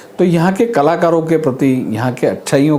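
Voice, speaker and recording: A man speaks in a Marathi accent. The recording has noticeable background noise and audible room echo. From India, Madhya Pradesh. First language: Marathi (speaking Hindi). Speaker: arts academy official. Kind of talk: interview.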